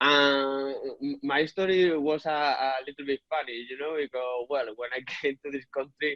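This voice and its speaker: A man speaks with a Spanish accent. His medium pitch carries at a moderate pace. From Spain. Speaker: property business owner and software developer. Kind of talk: interview. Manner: halting, many repetitions.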